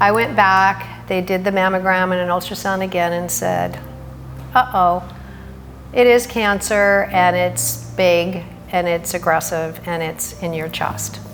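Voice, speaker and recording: Woman speaking at a fairly slow pace, with audible room echo and noticeable background noise. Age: 60s. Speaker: cancer patient. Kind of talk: testimony.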